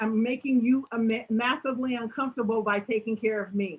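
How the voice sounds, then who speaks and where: A woman speaks at a moderate pace in a fairly high, somewhat breathy voice. Her tone is animated. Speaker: motivational speaker. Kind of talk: Q&A at online talk. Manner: animated, varies volume.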